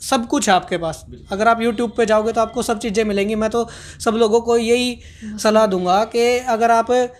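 Extremely high in pitch, a man's voice holds fairly even intonation. He speaks at a moderate pace. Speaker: interview guest, video creator. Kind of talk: interview answer. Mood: relaxed, friendly advice. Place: office. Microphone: handheld.

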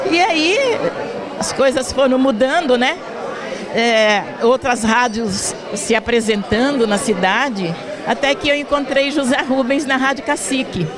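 With crowd noise in the background, a high-pitched woman speaks at a fairly slow pace and very even loudness. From São Paulo state, Brazil. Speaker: radio presenter. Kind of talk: interview. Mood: warm, smiling. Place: hall. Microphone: handheld.

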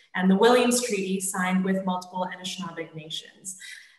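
There's audible room echo as a woman talks at a fairly quick pace. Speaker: event host. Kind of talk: formal welcome address. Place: home room. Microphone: video call.

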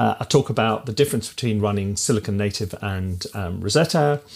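The speaker here is a man. He moves at a moderate pace with lively intonation. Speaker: music educator. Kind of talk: casual tech review talk. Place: home room.

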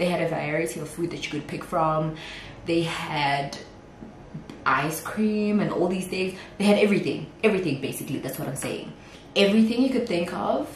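A woman with a fairly low voice and ordinary pitch variation talks at a moderate pace, with light background noise and audible room echo. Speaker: vlogger. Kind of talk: casual vlog chat. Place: kitchen.

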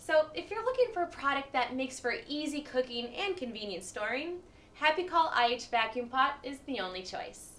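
Over noticeable background noise, a woman talks at a moderate pace in a high pitch that swings very widely. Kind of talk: TV commercial read.

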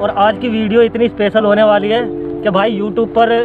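Over clear music in the background, a man talks at a moderate pace in a dry sound with no echo. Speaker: vlogger. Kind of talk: casual vlog chat. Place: open country.

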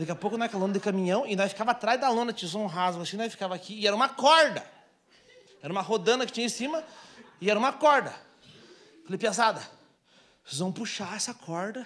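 A man with a high pitch talks at a very fast pace in an animated tone, using ordinary pitch variation and long, frequent pauses. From Brazil. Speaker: stand-up comedian. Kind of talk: stand-up comedy set, storytelling with acted-out bits. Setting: stage with audience, small theatre. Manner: animated, fast, punchy storyteller; plays characters with mimicry and sound effects. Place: stage. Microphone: handheld.

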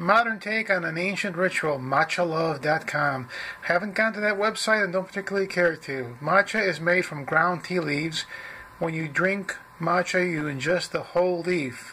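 This man has a high-pitched voice with ordinary pitch variation. He talks at a moderate pace over light background noise. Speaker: product reviewer. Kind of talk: casual product review, reading label. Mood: dry, wry humor. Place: home room. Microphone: phone near.

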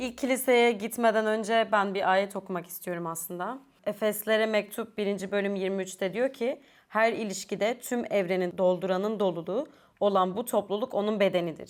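Recorded very cleanly against a silent background, a woman speaks in a plain, everyday voice at a moderate pace and medium pitch, with ordinary pitch variation. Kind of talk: panel discussion.

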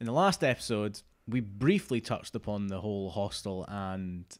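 A man speaks in a normal speaking voice, fairly low in pitch. The background is quiet. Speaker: podcast co-host. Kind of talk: podcast discussion. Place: home room. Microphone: studio mic.

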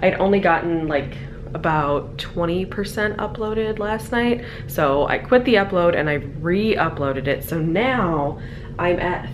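A woman's fairly low voice at a fairly slow pace, with noticeable background noise. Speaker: travel vlogger. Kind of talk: casual vlog chat. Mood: relaxed, slightly sleepy. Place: home room. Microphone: phone near.

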